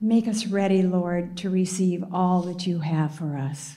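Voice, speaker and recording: A woman's fairly low, somewhat breathy voice, dark and mellow in tone, with fairly even intonation at a fairly slow pace. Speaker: prayer leader. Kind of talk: spoken prayer.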